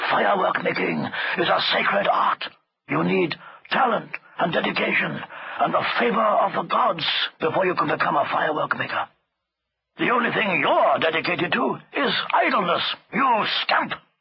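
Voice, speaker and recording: A gruff, put-on character voice at a moderate pace, broken by long, frequent pauses. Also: man, high pitch for a man. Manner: gruff, scolding, conspiratorial.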